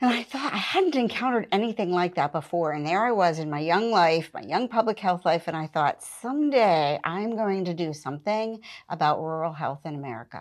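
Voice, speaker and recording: A woman's ordinary speaking voice, fairly low in pitch, at a moderate pace over a quiet background. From western Pennsylvania. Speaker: public health program director. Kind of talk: interview.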